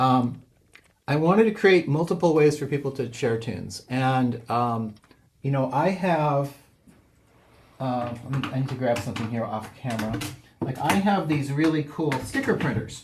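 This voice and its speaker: A somewhat breathy man's voice, medium in pitch, with lively intonation. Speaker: software developer presenting his tool. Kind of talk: online seminar tutorial. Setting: Zoom video call. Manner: fast; halting, many fillers.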